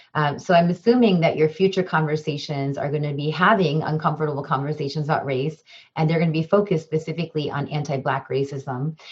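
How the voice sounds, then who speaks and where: Somewhat breathy and with an American accent, the speaker races along at a very fast pace with hardly any pauses and ordinary pitch variation. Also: woman, very deep, low pitch for a woman. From Chicago suburbs, US Midwest. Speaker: diversity trainer and professor. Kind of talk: webinar presentation. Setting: video call webinar.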